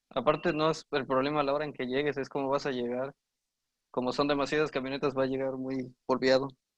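This man talks at a very fast pace. His intonation is monotone and flat. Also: medium pitch for a man. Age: 20s. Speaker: university student. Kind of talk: casual chat.

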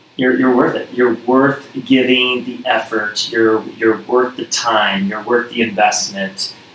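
A man with a medium pitch speaks in a flat monotone at a fairly slow pace, hardly pausing, over noticeable background noise. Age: 40s. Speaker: gym owner and former baseball player. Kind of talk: casual interview.

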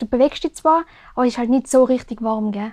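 In a Tyrolean accent, a woman speaks at a high pitch and moderate pace. The recording is very clean, with a silent background and a dry, close sound with no echo. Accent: Tyrolean Austrian German. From Austria, Tyrol (Oberland, Zams). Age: 20s. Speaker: mountain bike racer. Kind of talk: casual interview.

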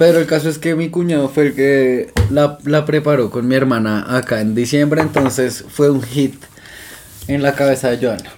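Noticeable background noise under a fairly high male voice. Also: ordinary pitch variation, moderate pace. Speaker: podcast co-host. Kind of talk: casual chat.

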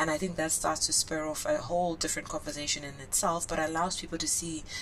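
Her pitch very deep and low, a woman talks at a fairly quick pace over noticeable background noise. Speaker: author and businesswoman. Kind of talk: casual interview chat.

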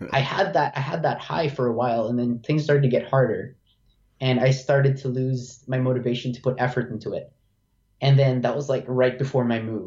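A man speaks at a fairly quick pace in a medium pitch. His voice is somewhat breathy, with fairly even intonation. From Philippines. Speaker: university student. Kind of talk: casual interview.

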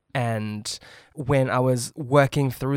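A man with a New Zealand accent speaks in fairly even intonation. The recording is very clean, with a silent background and a dry, close sound with no echo. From New Zealand, Auckland. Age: 30s. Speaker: chef and former barista champion. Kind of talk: casual chat.

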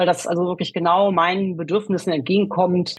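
This is a woman's voice, somewhat breathy. She talks at a fairly quick clip. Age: 50s. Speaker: self-help group leader. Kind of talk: interview. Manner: hesitant, many fillers.

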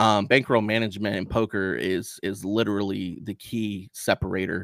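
A man with an unremarkable speaking voice talks at a fairly slow pace, the sound dry and close with no echo on a very clean recording with a silent background. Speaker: poker dealer and streamer. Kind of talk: casual interview.

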